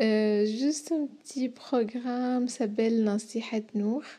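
Speaking very slowly, a woman has a high pitch with a dark, mellow tone. Her intonation is fairly even, in an Arabic accent. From Syria. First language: Arabic (speaking French). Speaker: humanitarian worker. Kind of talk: radio interview.

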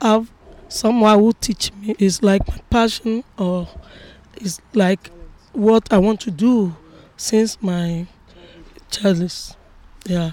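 A woman at medium pitch with ordinary pitch variation, a very slow pace and long, frequent pauses, in a dry, close sound without echo. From Ghana. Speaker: percussionist. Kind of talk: interview. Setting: outdoors by a canal.

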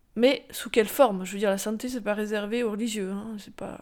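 The recording is very clean, with a silent background. A woman talks at a moderate pace and a fairly high pitch. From France, Rambouillet. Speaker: former nun. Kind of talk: testimony. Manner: halting.

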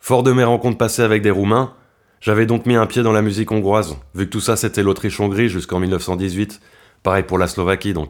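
Delivered fairly quickly, the speech keeps a fairly even intonation. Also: man, fairly low pitch for a man. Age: 30s. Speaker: violinist and composer. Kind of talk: autobiographical narration.

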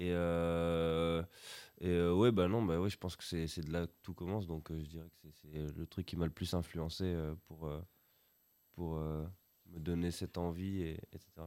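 A man speaks very slowly in a very deep, low voice with a dark, mellow tone. His intonation is monotone and flat, on a very clean recording with a silent background. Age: 20s. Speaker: rock drummer. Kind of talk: casual interview. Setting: school with live audience.

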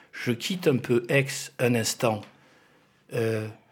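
The speaker goes at a fairly slow pace, somewhat breathy, with ordinary pitch variation. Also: man. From Spanish roots. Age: 50s. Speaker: law professor and municipal candidate. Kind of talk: radio interview. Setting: studio.

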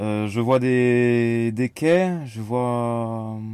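Dark and mellow in tone, a man's voice sits at medium pitch. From France, Nantes. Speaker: interviewee. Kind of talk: personal reflection. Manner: halting.

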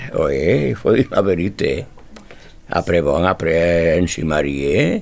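At a very slow pace, a man talks with a very deep, low pitch. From Spain. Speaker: immigrant telling memories. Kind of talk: reminiscence.

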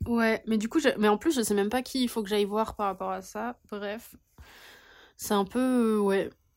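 A normal speaking voice from a woman, fairly high in pitch, at a fairly slow pace with fairly even intonation, on a very clean recording with a silent background. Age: 20s. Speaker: podcast co-host, sociology master's student. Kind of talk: casual chat.

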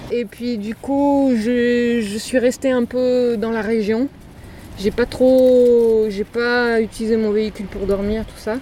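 Very slow, monotone delivery with flat intonation over noticeable background noise. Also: woman, fairly high pitch for a woman. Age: 40s. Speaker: van dweller. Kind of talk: interview. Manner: halting.

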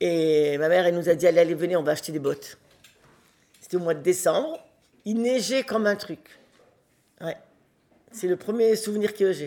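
With a dark, mellow tone and lively intonation, a woman speaks at a medium pitch and a moderate pace, leaving long, frequent pauses. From Morocco (Oujda), French family. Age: 70s. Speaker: interviewee, elderly relative. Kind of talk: casual chat.

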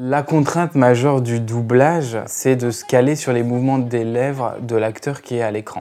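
A man's plain, everyday voice at medium pitch, fairly slow and fairly even in intonation, on a very clean recording with a silent background. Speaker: dubbing writer. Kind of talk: interview.

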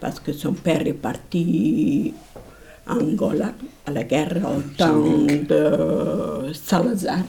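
Very slowly, a woman talks amid noticeable background noise and audible room echo. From Portugal. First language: Portuguese (speaking French). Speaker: immigrant. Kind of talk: testimony.

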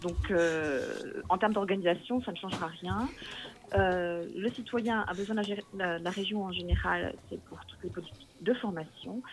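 A woman speaks at a fairly slow pace. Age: 40s. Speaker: local politician and schoolteacher. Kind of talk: interview. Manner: hesitant, with fillers and repetitions.

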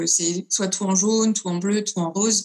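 Somewhat breathy, a woman speaks at a medium pitch and a fairly slow pace with fairly even intonation. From France, Lyon. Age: 20s. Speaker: singer-songwriter. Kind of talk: interview.

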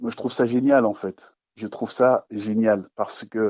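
Very slow speech from a man with a fairly low pitch. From Ghana. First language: not French (speaking French). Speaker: storyteller. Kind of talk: radio interview.

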